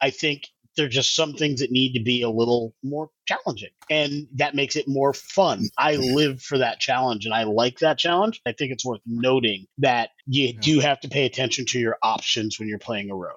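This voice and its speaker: A man speaks with an unremarkable speaking voice at medium pitch and ordinary pitch variation. His pace is moderate, with hardly any pauses. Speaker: podcast host. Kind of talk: casual chat about game rules.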